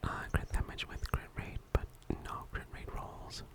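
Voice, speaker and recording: A whisper amid noticeable background noise. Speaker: ASMR content creator and gacha gamer. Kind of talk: ASMR gaming account tour, whispered commentary. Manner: whispered, soft-spoken.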